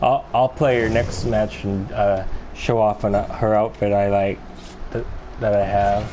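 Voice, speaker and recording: A soft-spoken man with a fairly low pitch at a moderate pace, over noticeable background noise. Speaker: video game streamer. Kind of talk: live gameplay commentary. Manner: halting.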